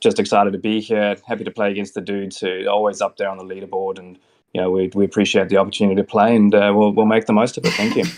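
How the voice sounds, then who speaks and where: The speaker races along at a very fast pace in a monotone, flat delivery, loudness swinging widely against a quiet background. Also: man. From South Africa, then New Zealand. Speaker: online golf game player. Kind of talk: casual introduction. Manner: halting.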